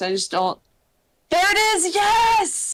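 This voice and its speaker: A woman is speaking. She has an American accent. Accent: muted regional US accent, still obvious. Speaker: gaming streamer. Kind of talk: casual chat.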